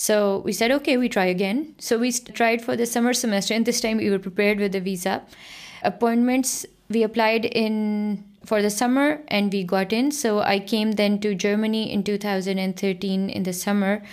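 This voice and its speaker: A woman with a Pakistani accent speaks at a fairly high pitch and a moderate pace. Her pitch varies in an ordinary way while her loudness stays very even. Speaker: researcher and lecturer. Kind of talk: interview.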